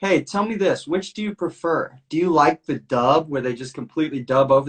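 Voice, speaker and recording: With lively intonation, a man speaks at a moderate pace. There is a somewhat breathy quality to his voice. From greater Atlanta area, Georgia. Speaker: podcast host. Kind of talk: casual chat. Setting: home studio, Instagram live stream.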